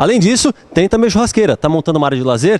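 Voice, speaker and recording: An animated, upbeat tone with lively intonation and a Brazilian accent. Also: man. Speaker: store promo presenter. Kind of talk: street-seller pitch in a store, promotional ad. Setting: in a store, shown on screen. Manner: animated, fast, upbeat hard-sell pitchman; repetitive, emphatic, talking straight to the viewer. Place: shop. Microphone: handheld.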